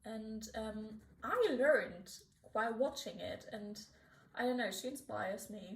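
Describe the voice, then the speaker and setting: The voice is somewhat breathy and moves at a fairly slow pace. Its pitch varies in an ordinary way. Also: woman. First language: not English. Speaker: art YouTuber. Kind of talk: casual chat while drawing. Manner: halting, many fillers and restarts.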